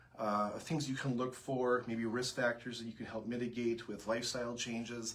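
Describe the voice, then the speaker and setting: This man has a Minnesotan accent and a medium pitch. He talks at a fairly quick pace in a monotone, flat intonation. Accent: Minnesota. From US Upper Midwest, Minnesota. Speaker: breast surgeon. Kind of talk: health information livestream Q&A. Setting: Facebook Live broadcast.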